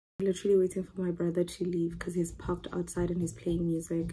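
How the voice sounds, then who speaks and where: Light background noise is audible. Over it, a woman talks at a very fast pace. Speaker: vlogger. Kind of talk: casual vlog chat. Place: home room. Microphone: phone near.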